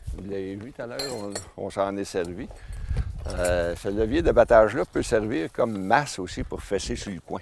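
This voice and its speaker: Over noticeable background noise, a man in a Quebec accent speaks at a fairly slow pace, his fairly low pitch carrying lively intonation. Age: 60s. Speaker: forestry instructor. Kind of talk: outdoor instruction and interview. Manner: halting, many fillers.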